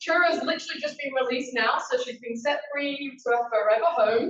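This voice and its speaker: Loud and fairly quick, a woman speaks with a strong Yorkshire accent. Her intonation is lively. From Yorkshire, northern England. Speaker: conservation coordinator. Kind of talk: presentation to a meeting. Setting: meeting room with audience. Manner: casual, with fillers.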